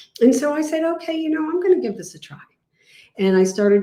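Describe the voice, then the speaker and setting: A woman speaks with lively intonation. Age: 60s. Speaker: health product distributor. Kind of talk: testimony. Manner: animated.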